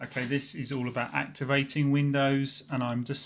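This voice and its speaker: A man with a British accent talks at a moderate pace on a very clean recording with a silent background. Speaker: tech YouTuber. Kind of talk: tutorial. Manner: hesitant, filler words.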